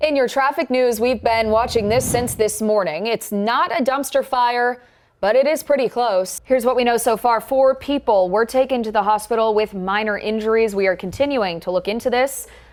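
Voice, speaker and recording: A woman with an unremarkable speaking voice talks at a moderate pace in a fairly high pitch, her loudness very even, her pitch variation ordinary and her pauses hardly any. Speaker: news anchor. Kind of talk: TV news anchoring.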